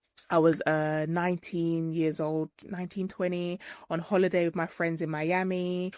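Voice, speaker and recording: A woman with a British accent speaks at a fairly low pitch. The recording is very clean, with a silent background and a dry, close sound with no echo. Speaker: trichologist and hair care business owner. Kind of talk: interview testimony. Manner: loud.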